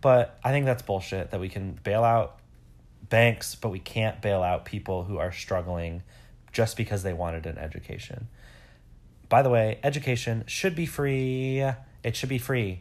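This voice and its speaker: A man with an American accent and an unremarkable speaking voice, medium pitch, lively intonation and a moderate pace, in a very clean recording with a silent background. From Metro Detroit, Michigan. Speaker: podcast co-host, teacher. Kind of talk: casual chat.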